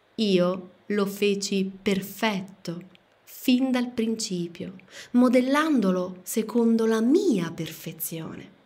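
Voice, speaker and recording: At a very slow pace, a woman with a medium pitch and somewhat breathy voice speaks in a solemn, intense tone with ordinary pitch variation. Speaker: audiobook narrator. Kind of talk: audiobook reading, dramatic narration. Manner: solemn, slow, declamatory, intense.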